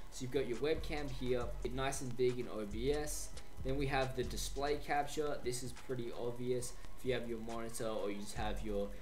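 There is faint music in the background. A man speaks at a moderate pace. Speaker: tech tutorial creator. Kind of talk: tutorial. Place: home room. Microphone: studio mic.

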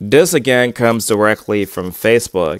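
A man at a moderate pace, dry sound with no echo, quiet background. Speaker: online commentator. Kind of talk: commentary. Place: home room. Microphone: earbuds.

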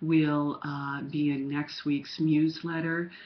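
A woman is speaking. Her pitch is very deep and low. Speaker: writing coach reviewing query letters. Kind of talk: webcam video critique monologue. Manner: hesitant, many fillers. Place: home room. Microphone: webcam.

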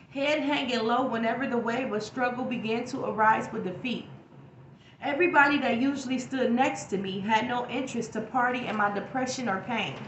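A woman with a high voice talks at a fairly quick pace and with fairly even intonation, with audible room echo and light background noise. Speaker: YouTube poet and inspirational speaker. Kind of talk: spoken-word poetry performance with faith-based reflection. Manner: rhythmic, flowing spoken-word cadence with internal rhymes; earnest, preacherly and encouraging. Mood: earnest, inspirational. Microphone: phone near.

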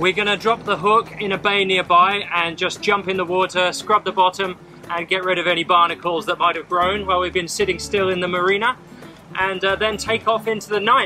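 Over faint background music, a man with a high-pitched voice talks at a fairly quick pace in a flat monotone. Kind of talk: casual vlog chat. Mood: cheerful, wry. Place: boat. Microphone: camera far.

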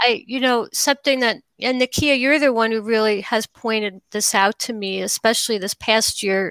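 A woman with a fairly high pitch speaks at a moderate pace with hardly any pauses and fairly even intonation. The sound is dry with no echo, over a quiet background. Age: 50s. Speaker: documentary filmmaker. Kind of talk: interview. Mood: thoughtful, engaged. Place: home room.

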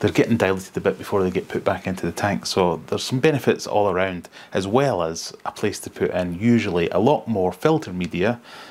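Talking at a fairly quick pace with hardly any pauses, a man with an unremarkable speaking voice sounds fairly low in pitch, his intonation lively. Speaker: presenter. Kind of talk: casual tutorial explanation. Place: home room. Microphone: lapel.

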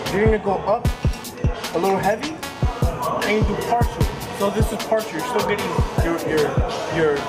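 Over loud music in the background, a man speaks at a fairly quick pace. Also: ordinary pitch variation. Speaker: fitness vlogger. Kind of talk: tutorial. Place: gym. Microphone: phone near.

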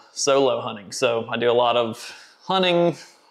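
The man talks at a fairly slow pace. The background is quiet. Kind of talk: casual vlog chat. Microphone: phone near.

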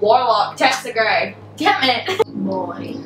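With music in the background and audible room echo, a woman speaks at a very slow pace. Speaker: booktuber. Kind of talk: casual talk to camera. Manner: whispered. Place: home room. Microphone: camera far.

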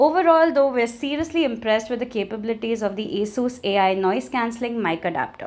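The pace is fairly quick, with a slightly mellow tone and ordinary pitch variation. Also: woman, fairly high pitch for a woman.

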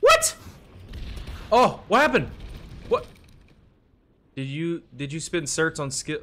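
A man's animated, fairly slow speech, with long, frequent pauses and big swings in loudness. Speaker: gaming YouTuber. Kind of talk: casual gameplay commentary. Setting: home recording while playing a game. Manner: animated, excitable. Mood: frustrated, joking.

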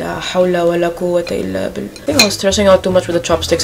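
Music plays in the background while a woman speaks. She talks at a very fast pace with lively intonation. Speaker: home cooking vlogger. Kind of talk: casual vlog chat. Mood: nervous, excited, playful. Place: home room. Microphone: phone near.

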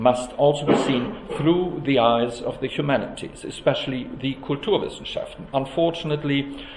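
Moderately paced, a man talks in a space with audible room echo. Light background noise is also present. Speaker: academic host introducing a lecture. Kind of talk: formal introductory speech. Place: hall. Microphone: podium.

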